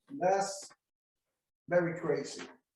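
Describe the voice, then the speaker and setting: Audible room echo surrounds a man whose fairly high voice moves at a very slow pace. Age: 80s+. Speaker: veteran stock and commodity trader. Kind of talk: interview Q&A.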